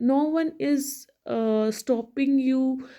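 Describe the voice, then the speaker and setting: A woman with an Indian accent speaks at a high pitch in a dark, mellow tone, with ordinary pitch variation. The recording is very clean, with a silent background. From India, Hindi-speaking. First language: Hindi. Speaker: English learning vlogger. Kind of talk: motivational talk to camera. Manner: halting, many fillers and restarts.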